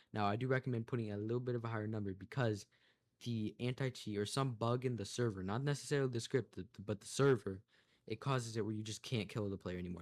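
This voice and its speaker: In a very clean recording with a silent background, a man of medium pitch speaks at a very fast pace with fairly even intonation. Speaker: gaming content creator, script developer. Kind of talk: screen-recorded tutorial showcase. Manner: casual, many filler words.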